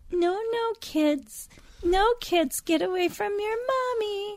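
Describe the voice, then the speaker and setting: An extremely high-pitched put-on character voice drags along at a very slow pace. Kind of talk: parental, commanding. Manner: stern, scolding.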